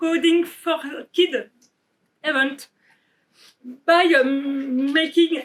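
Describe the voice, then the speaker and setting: A woman's extremely high voice in a French accent, fairly even in intonation, at a very slow pace. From France. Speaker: developer advocate. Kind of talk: conference keynote.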